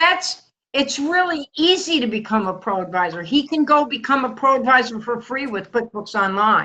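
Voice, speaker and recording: A woman talks at a high pitch. Her pitch swings very widely. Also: moderate pace. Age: 70s. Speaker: accounting advisor. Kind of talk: casual group chat.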